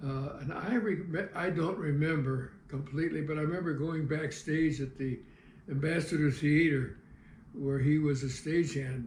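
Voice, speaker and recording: With an American accent, a man speaks at a moderate pace in a fairly high pitch with ordinary pitch variation, and room echo is audible. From US Midwest, St. Louis (south side). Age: 80s+. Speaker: retired TV cameraman and local historian. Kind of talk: life-story interview. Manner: halting, with frequent fillers.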